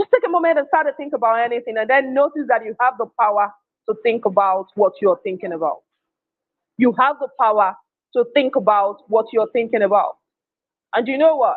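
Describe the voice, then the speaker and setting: A man with a Nigerian accent, extremely high-pitched, at a fairly quick pace. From Nigeria (Igbo). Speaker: emotional intelligence speaker. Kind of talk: motivational talk. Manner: emphatic, repetitive.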